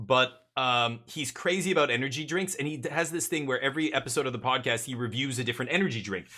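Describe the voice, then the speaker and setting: Speaking fairly quickly with an American accent, a man uses a bright, sharp tone. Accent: Canadian with some American-sounding vowels. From Canada, Winnipeg. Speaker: video game streamer. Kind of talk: casual live stream chat. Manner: hesitant, with fillers and repeated words.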